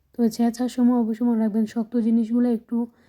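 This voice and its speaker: A woman speaks in a fairly high voice with a dark, mellow tone. Her intonation is monotone and flat. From Bangladesh. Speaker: cooking vlogger. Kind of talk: cooking tutorial.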